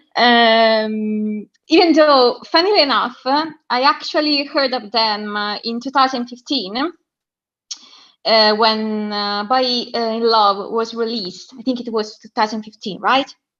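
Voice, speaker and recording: The delivery is fairly slow, with big swings in loudness. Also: woman, fairly high pitch for a woman, ordinary pitch variation. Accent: Italian. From southern Italy. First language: Italian. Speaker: caller. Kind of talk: casual chat. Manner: halting.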